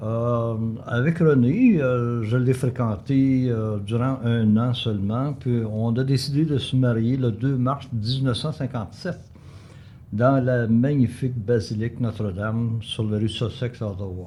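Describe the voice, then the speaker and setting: A man with a Quebec accent, medium pitch, a dark, mellow tone, a somewhat breathy quality and a very slow pace. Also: fairly even intonation. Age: 80s+. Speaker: local historian. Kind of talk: life story interview. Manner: hesitant, some repetitions.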